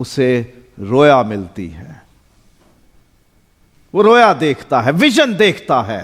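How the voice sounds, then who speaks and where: A man at medium pitch with vocal fry, very wide pitch swings and big swings in loudness. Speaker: pastor. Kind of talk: sermon.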